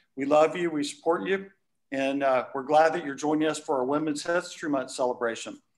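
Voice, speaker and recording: Against a quiet background, a normal speaking voice moves at a fairly quick pace with fairly even intonation. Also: man, fairly high pitch for a man. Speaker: moderator. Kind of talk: panel moderation. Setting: office studio. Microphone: video call.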